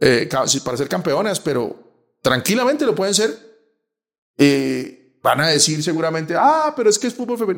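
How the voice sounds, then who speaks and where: Speaking at a moderate pace, a man uses a high pitch and very wide pitch swings. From Colombia. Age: 50s. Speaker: sports journalist. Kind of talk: casual interview. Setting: in person in Bogotá.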